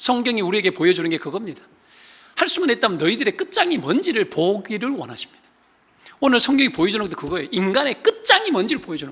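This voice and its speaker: A man speaks very fast in an extremely high, raised and projected voice with very wide pitch swings. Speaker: pastor. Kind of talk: sermon. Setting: church.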